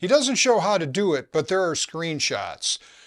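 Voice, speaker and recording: Moderate pace and lively intonation from a man with an ordinary speaking voice. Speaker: DIY mechanic youtuber. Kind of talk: comedic scripted narration.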